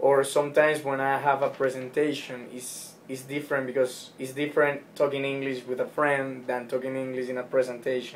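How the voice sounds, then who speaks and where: With a Spanish accent, a man talks at a fairly quick pace with hardly any pauses and monotone, flat intonation, over noticeable background noise. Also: medium pitch for a man. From Ecuador. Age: 20s. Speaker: former college tennis player, student. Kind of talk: interview.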